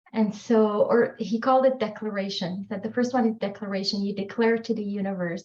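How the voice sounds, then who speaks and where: In a French accent, a woman talks at a fairly quick pace with hardly any pauses, her medium-pitched voice somewhat breathy and her intonation fairly even. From Morocco. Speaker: author. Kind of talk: podcast interview.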